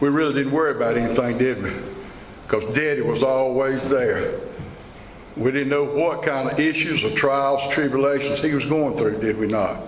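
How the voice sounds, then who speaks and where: A man speaks at a moderate pace and fairly high pitch with ordinary pitch variation, with audible room echo and noticeable background noise. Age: 70s. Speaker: tobacco farmer. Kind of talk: speech to a farm group meeting. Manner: emotional.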